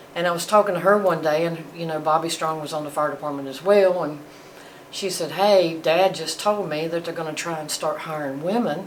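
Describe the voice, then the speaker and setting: A woman with a fairly low pitch talks at a fairly quick pace and with fairly even intonation, amid noticeable background noise and audible room echo. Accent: North Carolina. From US South, North Carolina (Greensboro). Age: 60s. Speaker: retired firefighter. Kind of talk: oral history interview.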